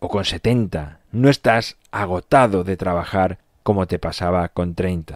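A very deep, low male voice at a very slow pace with ordinary pitch variation, on a very clean recording with a silent background and a dry, close sound with no echo. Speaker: podcast host. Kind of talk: motivational monologue. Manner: energetic.

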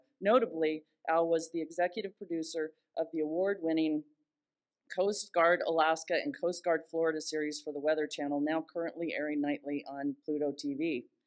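Against a quiet background, a woman uses an ordinary speaking voice. Her pitch is fairly low, her intonation fairly even, and her pace moderate. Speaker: event host introducing keynote. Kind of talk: speaker introduction. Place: hall. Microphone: podium.

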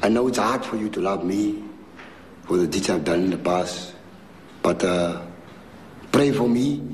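With light background noise behind him, a man talks at a moderate pace and a fairly low pitch, with ordinary pitch variation. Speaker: prison gang leader. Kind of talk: testimony; emotional personal address. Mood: remorseful, pleading. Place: home room.

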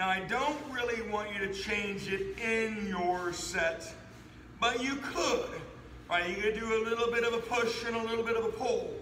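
A raised, projected voice with ordinary pitch variation, audible room echo and light background noise. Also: man. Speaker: fitness trainer. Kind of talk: workout tutorial. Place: gym. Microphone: camera far.

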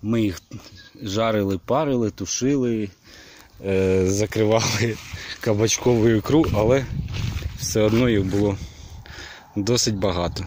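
At a fairly slow pace, a man with fairly low pitch speaks with long, frequent pauses, very even loudness and ordinary pitch variation, in a dry sound with no echo and light background noise. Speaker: village life vlogger and gardener; village life vlogger. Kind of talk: narrated walking tour of a vegetable garden. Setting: outdoors in a garden. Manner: casual, chatty with hesitations. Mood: relaxed, wrapping up. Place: garden. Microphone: phone near.

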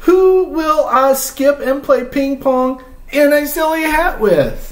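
With audible room echo, a man talks slowly in a put-on character voice, extremely high in pitch, with lively intonation.

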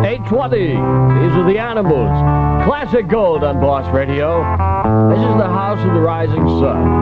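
Fairly slow speech over loud background music. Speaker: radio DJ. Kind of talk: radio DJ patter. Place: studio. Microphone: old recording.

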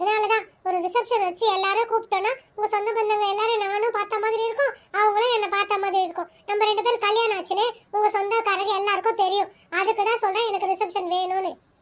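An extremely high-pitched cartoonish character voice from a woman, monotone and flat, at a moderate pace. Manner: emotive, expressive.

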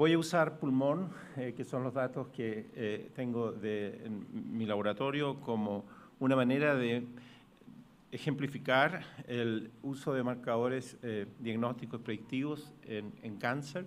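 A man with a Chilean accent at medium pitch, speaking at a very slow pace with long, frequent pauses and ordinary pitch variation. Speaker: pathologist; conference presenter. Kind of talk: conference talk.

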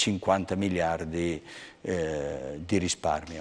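Fairly even intonation marks this man's speech. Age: 60s. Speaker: bank executive; guest. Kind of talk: interview. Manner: halting. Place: studio.

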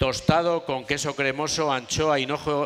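A man's voice with music in the background. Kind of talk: cooking demonstration talk. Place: tent. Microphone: headset.

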